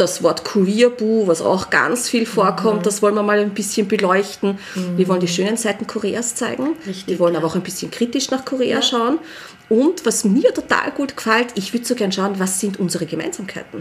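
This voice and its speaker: A woman at a medium pitch with ordinary variation and a fairly quick pace, amid noticeable background noise. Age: 40s. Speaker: early childhood educator. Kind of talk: casual chat.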